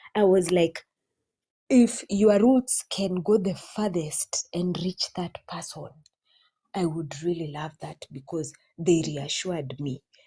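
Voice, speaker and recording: A woman's fairly low, somewhat breathy voice with a dark, mellow tone, ordinary pitch variation, big swings in loudness, a very slow pace, and a dry, close sound with no echo. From Kenya. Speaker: spiritual practitioner. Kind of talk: heartfelt thanks and blessing. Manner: halting.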